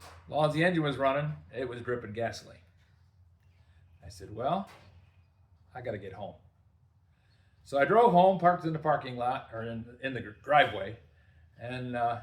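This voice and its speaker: A relaxed, somewhat breathy voice with lively intonation, big swings in loudness, a moderate pace and long, frequent pauses. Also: man, medium pitch for a man. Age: 70s. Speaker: workshop video host, DIY mechanic. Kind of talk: casual storytelling to camera. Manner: relaxed, conversational with fillers.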